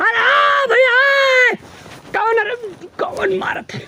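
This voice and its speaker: A put-on character voice shouts. Its pitch is extremely high. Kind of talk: comic overacting. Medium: voice reel. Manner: panicky, swears oaths repeatedly.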